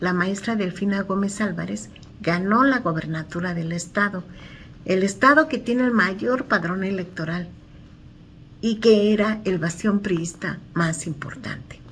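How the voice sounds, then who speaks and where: At a fairly slow pace, a woman speaks in a plain, everyday voice with a medium pitch and ordinary pitch variation. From Mexico City (Iztacalco). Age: 60s. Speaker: community activist. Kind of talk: book commentary.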